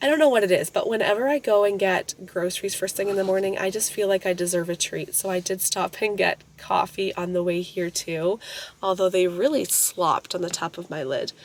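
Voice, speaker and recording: Noticeable background noise accompanies a woman whose fairly quick speech shows ordinary pitch variation. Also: medium pitch for a woman. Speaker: family vlogger, homeschool mom. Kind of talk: casual vlog talk. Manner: chatty, casual.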